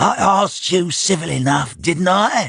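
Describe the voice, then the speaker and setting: This is a put-on character voice. It moves at a moderate pace with ordinary pitch variation. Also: man. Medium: read story. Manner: grumbling, pugnacious.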